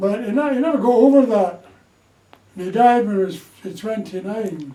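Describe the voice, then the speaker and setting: Someone speaks at a moderate pace with ordinary pitch variation, and room echo can be heard. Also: man, high pitch for a man. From Scotland, Glasgow. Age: 80s+. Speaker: war-era storyteller. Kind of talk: casual interview.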